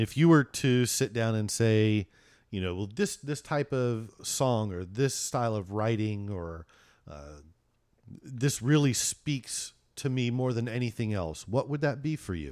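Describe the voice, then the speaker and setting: A man with an ordinary speaking voice at medium pitch, fairly slow in pace and lively in intonation, on a very clean recording with a silent background. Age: 50s. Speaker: podcast co-host and guitarist. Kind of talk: casual chat.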